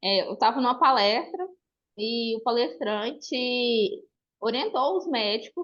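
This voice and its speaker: Her high pitch rises and falls in lively intonation as the woman speaks. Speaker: audience member asking a question. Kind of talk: question from audience.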